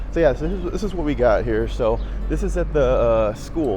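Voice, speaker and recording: Audible room echo and noticeable background noise around a speaking man. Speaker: travel vlogger. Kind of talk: casual vlog monologue. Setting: outdoors, walking in city. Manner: halting, repetitive; loud.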